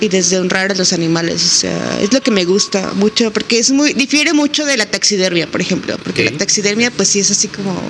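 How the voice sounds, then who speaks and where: A woman's medium-pitched voice at a fairly quick pace, very even in loudness, with lively intonation, hardly any pauses and noticeable background noise. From Mexico, San Luis Potosí. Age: 20s. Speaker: veterinarian and photographer. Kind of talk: casual interview. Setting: in-person recording.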